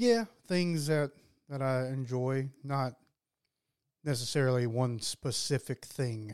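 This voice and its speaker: Speaking at a very slow pace with long, frequent pauses, the voice shows ordinary pitch variation. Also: man, medium pitch for a man. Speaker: podcast co-host. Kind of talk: casual chat. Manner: laid-back, laughs often.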